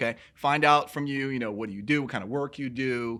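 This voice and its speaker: Loud and energetic, a man races along at a very fast pace. His tone is bright and sharp, on a very clean recording with a silent background. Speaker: personal trainer. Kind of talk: casual chat.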